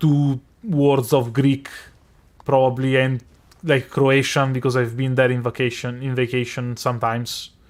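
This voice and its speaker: A man talks with an Italian accent at medium pitch. His pace is moderate. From Italy. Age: 20s. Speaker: streamer. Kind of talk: casual chat. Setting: live stream.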